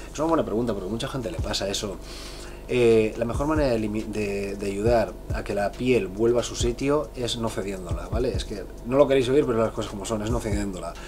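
Music plays in the background as a man talks at a fairly quick pace. His pitch is fairly low, with ordinary variation. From Spain, Bilbao (Basque Country). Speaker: fitness youtuber and professional bodybuilder. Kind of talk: casual Q&A vlog. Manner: casual, filler-heavy (¿vale?, eh). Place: home room. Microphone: camera far.

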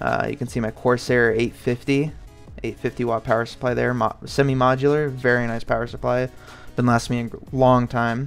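Faint music in the background behind a man at a medium pitch, fairly quick in pace and monotone, flat in intonation. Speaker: PC gaming vlogger. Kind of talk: casual talk to camera. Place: home room. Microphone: phone near.

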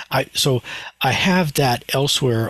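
A man speaks somewhat breathily, and the sound is dry with no echo. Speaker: class teacher. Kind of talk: lecture. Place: home room. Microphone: headset.

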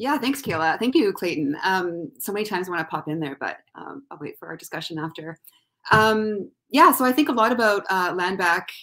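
With a Canadian accent, a woman speaks at a fairly quick pace in a bright, sharp tone, her intonation lively and her loudness swinging widely against a quiet background. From Thunder Bay, Ontario, Canada; Ontario, Canada. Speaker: university student, panelist; panelist. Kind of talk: online panel discussion. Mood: reflective, thoughtful. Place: home room.

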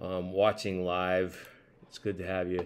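A man speaks at a moderate pace. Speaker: church pastor. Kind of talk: casual welcome then prayer. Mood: warm, friendly. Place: home room. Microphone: webcam.

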